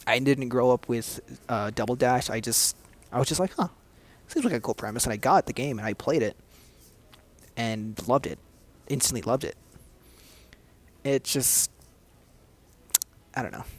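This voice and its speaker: Soft-spoken and at a medium pitch, a man talks at a moderate pace with ordinary pitch variation and long, frequent pauses. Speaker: gaming youtuber. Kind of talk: casual chat. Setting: public area, study space. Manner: halting.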